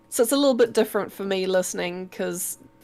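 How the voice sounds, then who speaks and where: A woman speaks with a New Zealand accent. Her pitch is medium. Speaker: live stream co-host, artist. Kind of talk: casual chat. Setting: live stream. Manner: clear.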